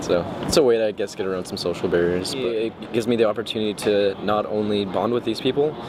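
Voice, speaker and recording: A man with an American accent, fairly low in pitch, at a very fast pace with hardly any pauses and ordinary pitch variation, amid noticeable background noise. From Texas, Houston. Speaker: college student. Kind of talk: documentary interview.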